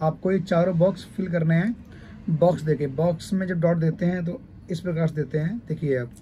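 A high-pitched male voice with a dark, mellow tone and fairly even intonation. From Uttar Pradesh, India (Kannauj). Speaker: mehndi artist and teacher. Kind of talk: tutorial.

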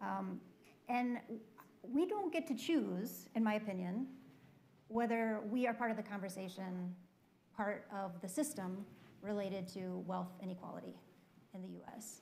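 A woman with an American accent speaks in a somewhat breathy, dark, mellow tone at a fairly slow pace, with ordinary pitch variation and big swings in loudness. Long, frequent pauses break up her speech over light background noise. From Minnesota. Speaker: foundation leader; panelist. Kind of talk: panel discussion. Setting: stage with audience. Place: stage. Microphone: lapel.

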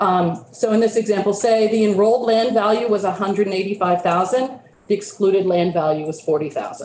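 With hardly any pauses, the speech moves at a moderate pace with ordinary pitch variation and very even loudness, while audible room echo and light background noise sit behind it. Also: woman. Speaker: state tax program manager. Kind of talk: committee testimony. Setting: legislative committee room. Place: meeting room.

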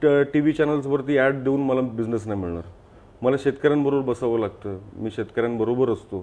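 A man of medium pitch speaks with ordinary pitch variation in a normal speaking voice. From Mumbai, India (Lalbaug chawl). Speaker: entrepreneur. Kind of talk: interview. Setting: studio.

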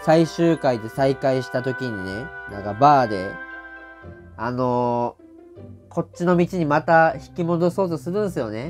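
Music plays in the background as a man with a Saga accent talks in a medium pitch with lively intonation. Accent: Kyushu (Saga) dialect. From Saga Prefecture, Japan. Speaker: comedian. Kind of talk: casual TV drama review talk to camera.

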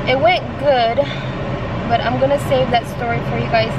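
Loud background noise surrounds a female speaker. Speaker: vlogger. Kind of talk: casual vlog chat. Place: car. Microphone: phone near.

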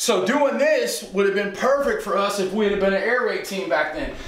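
There is audible room echo around a man's high voice. He speaks at a very fast pace. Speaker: football coach. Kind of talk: tutorial. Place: home room.

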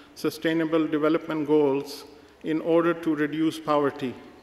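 Audible room echo surrounds a man who speaks at a moderate pace in a high pitch. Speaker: organization leader giving report. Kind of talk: formal conference report. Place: hall. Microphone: podium.

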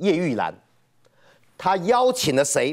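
This man talks at a high pitch. His pitch swings very widely. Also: quiet background. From Taiwan. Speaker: guest. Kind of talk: political talk show debate. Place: studio. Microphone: lapel.

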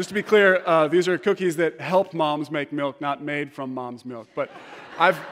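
Here a man talks at a fairly slow pace with ordinary pitch variation. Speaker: preacher. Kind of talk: sermon. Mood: humorous, warm storytelling. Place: church.

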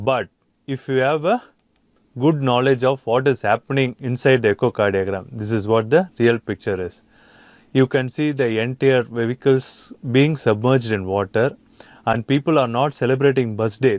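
A man speaks with an Indian accent at a moderate pace. His pitch varies in an ordinary way, and the sound is dry with no echo. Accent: Indian English (Tamil). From India, Chennai. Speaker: anesthesia lecturer. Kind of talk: lecture.

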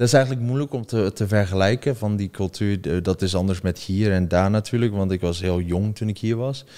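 A man's fairly low voice, dark and mellow in tone, with ordinary pitch variation and a quiet background. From China (Dutch parents, from Zeeland); China. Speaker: content creator; podcast guest. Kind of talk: interview. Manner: halting, many repetitions and fillers. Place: studio. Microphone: studio mic.

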